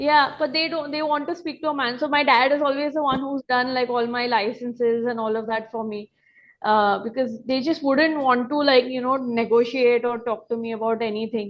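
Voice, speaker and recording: A woman with a Marathi accent speaks at a high pitch and a moderate pace. Her intonation remains fairly even. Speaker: restaurant owner and pastry chef. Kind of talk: interview. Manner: casual, many fillers.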